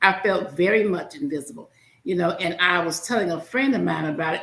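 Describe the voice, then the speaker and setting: A woman with a Southern US accent, fairly low in pitch, at a very fast pace, with lively intonation and an animated tone. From US South. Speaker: podcast host. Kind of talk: podcast interview. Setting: studio.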